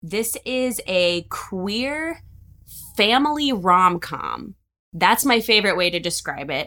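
In an American accent, a woman speaks at a very slow pace with a bright, sharp tone. Her fairly high pitch makes very wide swings on a very clean recording with a silent background. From Cincinnati, Ohio. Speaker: film producer and director. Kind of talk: interview.

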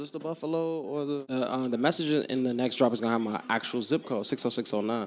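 The speech goes at a very fast pace with ordinary pitch variation over noticeable background noise. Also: man. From Chicago, South Side. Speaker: clothing brand owner. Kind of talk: casual interview.

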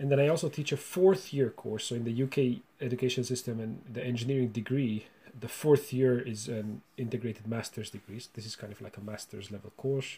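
With a Hungarian accent, a man of medium pitch and ordinary pitch variation talks at a fairly quick pace with hardly any pauses, his dark, mellow, somewhat breathy voice showing big swings in loudness. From Romania (Hungarian minority). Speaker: university researcher and lecturer. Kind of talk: interview. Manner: halting, with many repetitions.

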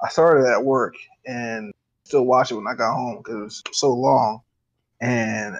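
Speaking at a moderate pace, a man with a medium pitch shows ordinary pitch variation. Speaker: DJ. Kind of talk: casual chat. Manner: animated, joking.

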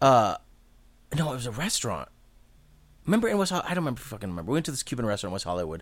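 Over a very clean recording with a silent background, a man's voice shows vocal fry and very wide pitch swings. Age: 40s. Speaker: podcast host. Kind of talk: casual chat. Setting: studio.

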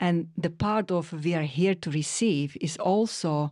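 A woman talks in a plain, everyday voice, fairly low in pitch with ordinary pitch variation. The recording is very clean with a silent background. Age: 40s. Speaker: mother and parenting voice. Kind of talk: casual chat.

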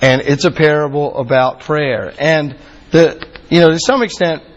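A man with an American accent speaks at a fairly high pitch with ordinary pitch variation, amid noticeable background noise. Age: 40s. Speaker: campus minister. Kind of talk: sermon.

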